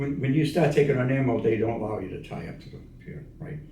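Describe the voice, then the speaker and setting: A man's fairly high-pitched voice, somewhat breathy, in a dark, mellow tone. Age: 80s+. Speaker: navy veteran. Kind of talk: interview answer.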